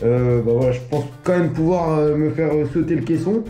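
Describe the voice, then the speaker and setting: Audible room echo surrounds a man talking fairly quickly at a fairly high pitch with ordinary pitch variation. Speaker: running coach and athlete. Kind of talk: casual vlog talk to camera. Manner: casual, with many hesitations.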